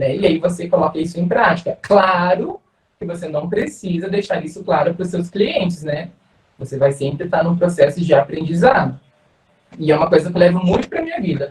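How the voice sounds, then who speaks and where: The pace is fairly quick as a man talks. His pitch is high, with ordinary pitch variation. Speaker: dance teacher. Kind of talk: online talk to students. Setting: video call. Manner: fast.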